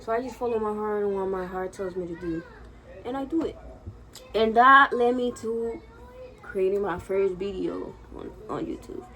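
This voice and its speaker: Audible room echo surrounds a woman who speaks at a moderate pace with ordinary pitch variation and long, frequent pauses. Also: medium pitch for a woman. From Dominican Republic, Santo Domingo. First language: Spanish. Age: 20s. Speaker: vlogger. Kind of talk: casual vlog monologue. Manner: nervous, filler-heavy (frequent 'like').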